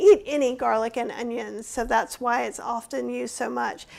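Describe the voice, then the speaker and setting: With a Southern accent, a woman speaks at a high pitch. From American South. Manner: slow, drawn-out delivery.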